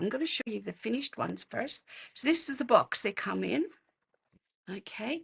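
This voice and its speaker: A woman with an Australian accent, at a fairly slow pace. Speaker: card-making demonstrator. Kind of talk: live craft tutorial. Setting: livestream. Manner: casual, hesitant with fillers.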